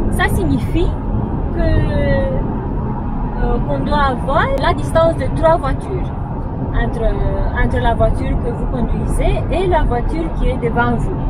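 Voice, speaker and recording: A woman at a very slow pace over loud background noise. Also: dry sound with no echo. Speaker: car vlogger. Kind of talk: tutorial.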